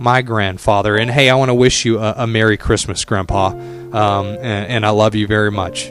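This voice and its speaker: A man's fairly low voice at a moderate pace, with fairly even intonation, hardly any pauses, and music in the background. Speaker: radio personality. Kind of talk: radio show hosting.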